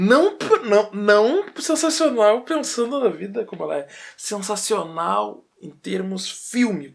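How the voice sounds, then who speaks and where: A man's very slow delivery with big swings in loudness. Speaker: filmmaker and history researcher. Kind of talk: film analysis talk to camera.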